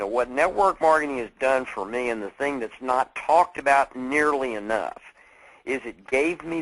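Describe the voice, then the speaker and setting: Speaking at a moderate pace, a man uses a medium-pitched voice with lively intonation. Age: 50s. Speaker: network marketing speaker. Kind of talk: motivational talk. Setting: conference call. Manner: animated.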